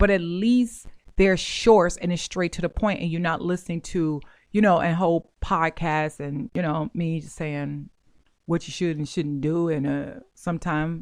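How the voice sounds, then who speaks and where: An unremarkable speaking voice at a fairly slow pace, with ordinary pitch variation and a quiet background. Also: woman. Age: 40s. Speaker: podcast host, mortgage and real estate educator. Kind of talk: casual monologue.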